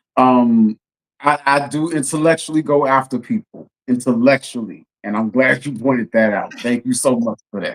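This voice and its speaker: This man has an American accent and an ordinary speaking voice, pitched at a medium level with ordinary pitch variation. He speaks at a moderate pace, and the sound is dry and close with no echo. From Texas, Houston. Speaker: policy consultant, Navy veteran. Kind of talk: casual chat.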